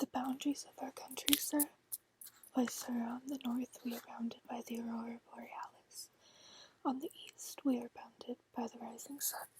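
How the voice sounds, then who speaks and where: A soft-spoken speaker whispers at a moderate pace. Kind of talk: audiobook reading. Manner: soft-spoken, whispered.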